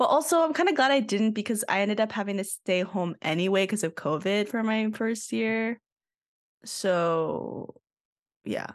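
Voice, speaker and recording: Against a quiet background, a woman uses an ordinary speaking voice at a moderate pace. Her pitch is medium and her intonation lively. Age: 20s. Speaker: podcast co-host, architecture student. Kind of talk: casual chat.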